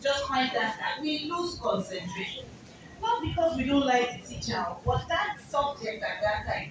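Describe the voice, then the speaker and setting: Speaking in a Nigerian accent at a moderate pace, a woman uses a high pitch with very wide pitch swings, while room echo is audible and background noise is noticeable. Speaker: motivational speaker. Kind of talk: seminar talk with audience. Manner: animated.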